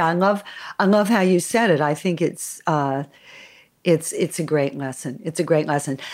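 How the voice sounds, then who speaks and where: On a very clean recording with a silent background, a woman talks with a Californian accent. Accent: American, Californian. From Los Angeles, US. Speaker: interviewer, jazz pianist. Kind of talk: interview.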